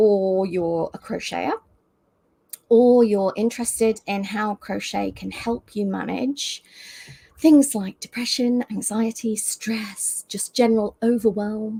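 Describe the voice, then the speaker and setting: In a British accent, a woman speaks at a very slow pace with a fairly high pitch and fairly even intonation. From UK. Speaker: crochet teacher and designer. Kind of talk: live video chat. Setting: livestream video call.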